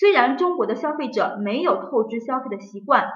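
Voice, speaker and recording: Amid audible room echo, a woman with a high voice speaks at a moderate pace with lively intonation. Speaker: exam prep teacher. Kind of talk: lecture.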